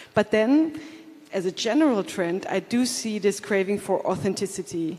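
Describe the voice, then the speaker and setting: Speech at a moderate pace against noticeable background noise. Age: 40s. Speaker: tourism operator and content creator. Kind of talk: panel discussion.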